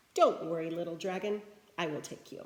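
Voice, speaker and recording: At a fairly quick pace, a woman puts on a character voice. It is fairly low-pitched and delivered in a flat monotone. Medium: read story. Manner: nervous, stuttering.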